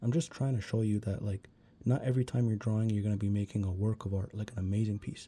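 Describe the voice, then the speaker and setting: On a very clean recording with a silent background, a man's fairly low, somewhat breathy voice shows ordinary pitch variation. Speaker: art tutorial youtuber. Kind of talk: tutorial. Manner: fast; casual, many fillers.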